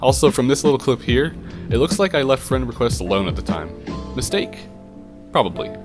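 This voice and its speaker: A man talks fairly quickly over music in the background. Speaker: gaming YouTuber. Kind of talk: video commentary narration.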